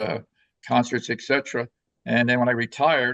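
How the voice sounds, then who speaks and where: A man with an American accent speaks at a very fast pace with medium pitch. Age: 70s. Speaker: luxury travel coach. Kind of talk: podcast interview.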